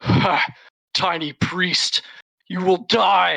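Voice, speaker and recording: This is a put-on character voice at a middle pitch. It sounds raspy. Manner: maniacal, menacing.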